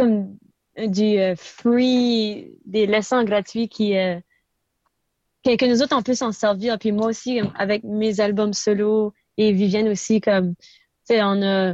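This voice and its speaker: A woman with a New Brunswick Acadian accent talks at a very slow pace and a fairly high pitch, with long, frequent pauses. The sound is dry and close, without echo. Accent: Acadian chiac French. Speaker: musician. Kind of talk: interview. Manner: mixes English into French.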